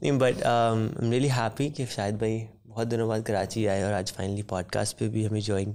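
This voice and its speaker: Here a man speaks at a moderate pace. His intonation stays fairly even. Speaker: podcast host. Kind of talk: podcast introduction. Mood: warm, smiling. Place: studio. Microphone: studio mic.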